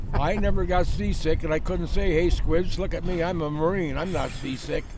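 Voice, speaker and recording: A man's high voice with an American accent, moderate in pace and fairly even in intonation, with audible room echo and noticeable background noise. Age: 80s+. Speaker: military veteran. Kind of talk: interview.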